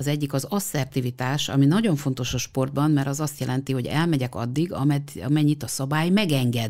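On a very clean recording with a silent background, a woman with a very deep, low pitch talks at a fairly quick pace with ordinary pitch variation. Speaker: sports psychologist. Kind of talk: interview.

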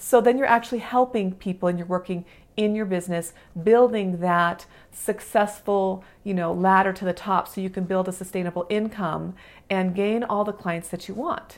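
A woman at a moderate pace and medium pitch, ordinary pitch variation, a plain, everyday voice. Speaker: podcast host and business mentor. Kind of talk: solo podcast monologue, coaching talk. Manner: casual, warm, filler words; encouraging, motivational.

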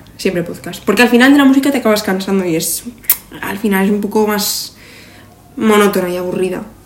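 A woman talks with long, frequent pauses, with noticeable background noise and audible room echo. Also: medium pitch for a woman, ordinary pitch variation, fairly quick pace. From Zaragoza, Spain. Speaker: podcast co-host, industrial design engineer. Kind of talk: casual chat. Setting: seated at a table.

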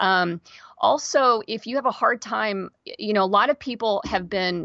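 With a General American accent, a woman speaks in an unremarkable speaking voice at medium pitch and a moderate pace, her intonation lively, the sound dry and close with no echo over a quiet background. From Kansas, US. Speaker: podcast host. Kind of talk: interview.

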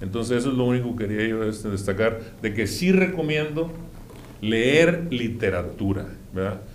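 A man speaks at a moderate pace with lively intonation. His pitch is medium, and the room echo is audible. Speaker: podcast guest. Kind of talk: casual chat.

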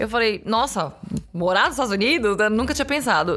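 A woman speaks in a normal speaking voice at a fairly quick pace, with a fairly high pitch and ordinary pitch variation. The recording is very clean, with a silent background. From Brazil, São Paulo city. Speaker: bassist, singer and songwriter. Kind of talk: casual chat.

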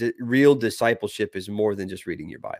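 Against a silent background in a very clean recording, a man talks at a fairly quick pace in an unremarkable speaking voice with medium pitch. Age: 30s. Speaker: podcast host. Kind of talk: casual chat.

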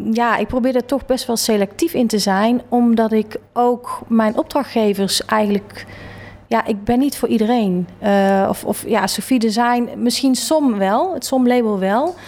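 A woman with an unremarkable speaking voice and fairly high pitch talks at a fairly slow pace, with very even loudness and ordinary pitch variation. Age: 40s. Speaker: interior designer. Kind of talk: interview. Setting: her office.

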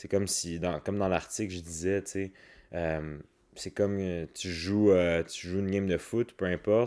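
A man with a Quebec accent speaks at a moderate pace in a very deep, low voice with a dark, mellow tone. His intonation is fairly even, and the recording is very clean with a silent background. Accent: Québécois French. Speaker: wellness coach and podcaster. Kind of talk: casual solo podcast monologue. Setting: at home. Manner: calm. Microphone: new microphone.

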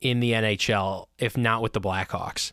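Not a sound comes from the background of this very clean recording. The man talks fairly slowly. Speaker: radio host. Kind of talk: casual chat. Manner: casual, joking.

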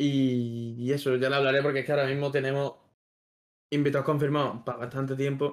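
Monotone and flat in intonation, a man talks at a fairly quick pace. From Extremadura, Spain. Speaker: podcast host. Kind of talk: casual chat.

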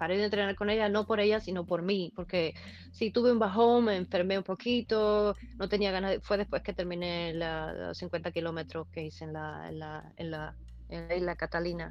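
Her volume rises and falls sharply as the woman talks at an unhurried, middling speed. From eastern Cuba (Holguín). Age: 40s. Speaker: amateur runner. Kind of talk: casual interview.

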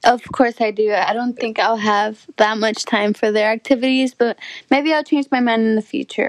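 A woman with an American accent speaks in an unremarkable speaking voice, fairly high in pitch, at a moderate pace with fairly even intonation. The sound is dry and close, with no echo. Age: 20s. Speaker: college student. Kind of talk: casual chat.

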